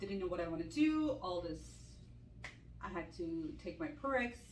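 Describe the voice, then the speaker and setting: A woman speaks at a moderate pace with lively intonation, and audible room echo surrounds her voice. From Armenian from Iran. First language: Armenian. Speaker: ICU nurse and med spa owner. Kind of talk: casual Q&A chat.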